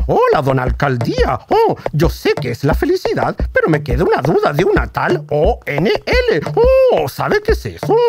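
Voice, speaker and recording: Over light background noise, a man does a cartoonish character voice at a moderate pace. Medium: puppet. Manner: humming, inquisitive, polite.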